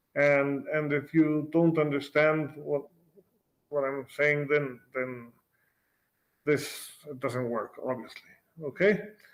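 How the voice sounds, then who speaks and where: A man with a Spanish accent and a fairly high pitch, at a very slow pace with long, frequent pauses and fairly even intonation. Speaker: physics professor. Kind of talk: lecture. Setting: video call. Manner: halting, with repeated words.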